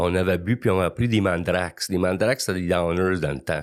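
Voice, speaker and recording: A man's very deep, low pitch carries his words at a moderate pace. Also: very clean recording, silent background. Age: 60s. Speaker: recovering alcoholic guest. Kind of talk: testimony. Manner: halting, many repetitions.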